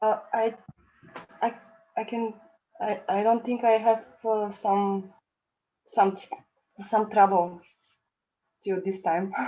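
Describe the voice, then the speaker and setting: The delivery is very slow and monotone, with flat intonation. Long pauses come often. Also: woman, fairly high pitch for a woman. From Bulgaria. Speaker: devotee student in a scripture class. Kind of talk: class discussion. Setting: video call. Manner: halting.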